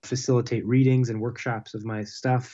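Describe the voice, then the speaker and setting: Against a quiet background, a man speaks with an American accent. His pitch sits in the medium range. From Pittsburgh, Pennsylvania. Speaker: playwright. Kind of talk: interview. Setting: remote call via computer. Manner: halting, many fillers.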